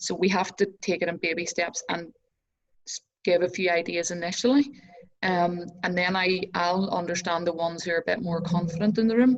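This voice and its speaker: With a Northern Irish accent, a woman talks at a fairly quick pace in a fairly low pitch, her intonation showing ordinary pitch variation. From Northern Ireland. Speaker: entrepreneur and success coach. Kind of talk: casual interview chat.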